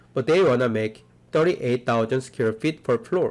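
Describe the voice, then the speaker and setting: A man talks at a fairly slow pace, medium in pitch, with ordinary pitch variation. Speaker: architecture professor. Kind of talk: lecture.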